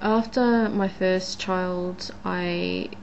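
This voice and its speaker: A woman with an Australian accent speaks with audible room echo. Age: 20s. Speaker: vlogger. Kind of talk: casual vlog monologue. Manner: hesitant, many fillers.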